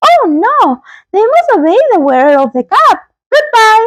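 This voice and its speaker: A woman's squeaky, put-on character voice, extremely high in pitch, with very wide pitch swings. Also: moderate pace. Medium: read story.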